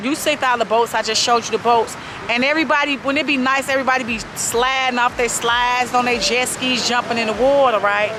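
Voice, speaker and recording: A woman talks at a very fast pace with a high pitch and hardly any pauses. Her intonation is fairly even, her loudness very even, and there is noticeable background noise. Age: 40s. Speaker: vlogger. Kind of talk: casual vlog chat. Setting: outdoors by the lake.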